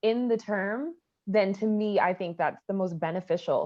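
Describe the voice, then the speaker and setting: Speaking in an American accent with an unremarkable speaking voice, a woman keeps a moderate pace, a medium pitch and ordinary pitch variation. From US South, Atlanta, Georgia. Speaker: storyteller. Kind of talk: interview testimony.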